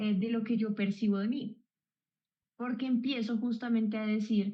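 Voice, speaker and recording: A somewhat breathy, dark, mellow voice in a Colombian accent, at a moderate pace with monotone, flat intonation. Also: woman, fairly high pitch for a woman. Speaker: psychologist. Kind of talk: explanatory chat.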